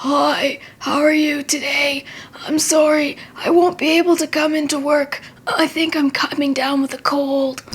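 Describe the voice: Using a put-on character voice, a woman speaks high, croaky and hoarse, flat and monotone at a moderate pace.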